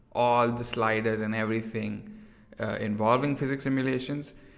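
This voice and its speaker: A man's medium-pitched voice, flat and monotone, with noticeable background noise and audible room echo. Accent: American. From India. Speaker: 3D artist streamer. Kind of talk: live stream tutorial chat. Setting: near-empty room at home, live stream. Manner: casual, filler-heavy.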